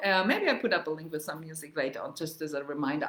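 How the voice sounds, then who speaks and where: The speaker has a Bavarian German accent and ordinary pitch variation. Noticeable background noise runs under the voice. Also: woman. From Germany, Munich (Bavaria). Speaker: travel and culture vlogger. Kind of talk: casual livestream talk on history and language. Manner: halting, many fillers. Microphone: laptop mic, first time.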